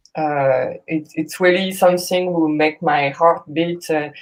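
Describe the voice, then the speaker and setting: Speaking with a French accent, a woman talks at a fairly slow pace with ordinary pitch variation. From France. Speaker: jazz singer. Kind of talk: casual chat.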